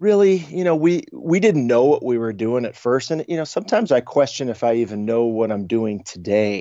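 A man with a slight Chicago accent talks at a fairly quick pace with hardly any pauses, his medium pitch swinging very widely. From Chicago, US Midwest. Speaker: travel website co-founder. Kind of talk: interview conversation.

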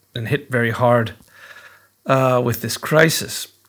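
Here is a man with a plain, everyday voice at medium pitch. His intonation stays fairly even and his pace is fairly slow. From Edmonton, Alberta, Canada. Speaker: teacher, writer and musician. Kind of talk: recorded audio dispatch.

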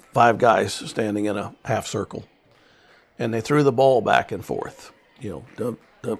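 A man with a Midwestern US accent talks at a moderate pace with ordinary pitch variation. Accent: rural Midwestern American. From Kansas. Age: 70s. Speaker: farmer. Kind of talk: interview storytelling. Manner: halting.

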